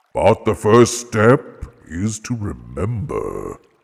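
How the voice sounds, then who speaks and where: A man's put-on character voice at a medium pitch. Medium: read story. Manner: grave, measured, authoritative.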